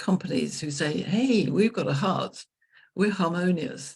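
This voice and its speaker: A woman with an English accent and vocal fry, at a moderate pace, in a very clean recording with a silent background. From England. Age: 70s. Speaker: leadership consultant. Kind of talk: interview conversation.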